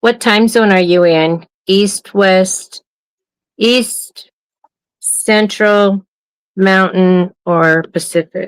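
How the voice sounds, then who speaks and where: A woman with an American accent at a medium pitch, very slow pace with long, frequent pauses, very even loudness, and dry, close sound with no echo. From US Midwest (Wisconsin, Illinois). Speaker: livestream co-host. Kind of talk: casual chat.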